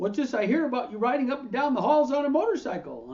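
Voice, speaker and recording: In a put-on character voice, a man talks very fast in a raised, projected voice at an extremely high pitch. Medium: read story. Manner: blunt, hearty.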